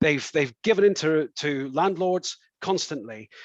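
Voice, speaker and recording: With a Scottish accent and a fairly high pitch, a man talks at a moderate pace with lively intonation, the sound dry and close with no echo over a quiet background. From Scotland. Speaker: councillor and election candidate. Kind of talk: political hustings answer. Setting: online event.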